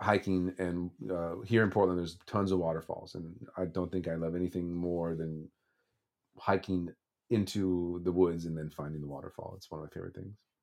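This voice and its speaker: At a moderate pace, a man with a West Coast American accent speaks at a very deep, low pitch, with ordinary pitch variation and big swings in loudness. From Los Angeles, California. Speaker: singer-songwriter. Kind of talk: interview. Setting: remote call. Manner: halting, many restarts.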